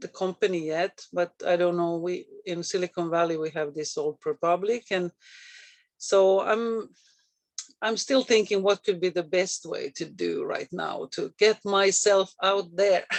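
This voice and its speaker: The speaker has a slight Finnish accent. The pace is fairly slow. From Finland. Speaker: real estate agent. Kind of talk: casual chat. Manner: halting.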